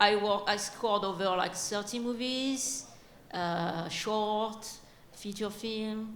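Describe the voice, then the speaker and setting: A woman talks at a very slow pace in a strong French accent, her fairly high voice held to fairly even intonation. Audible room echo and noticeable background noise fill the recording. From France. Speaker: game and film composer. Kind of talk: panel discussion.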